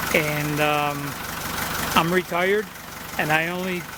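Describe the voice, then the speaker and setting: Amid audible room echo, a man with a high pitch speaks at a very slow pace. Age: 70s. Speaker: used car dealer. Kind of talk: sales pitch. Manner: halting.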